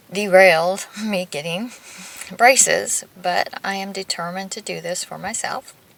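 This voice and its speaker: Against noticeable background noise, a woman speaks at a medium pitch with fairly even intonation. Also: moderate pace. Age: 40s. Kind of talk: casual talk to camera.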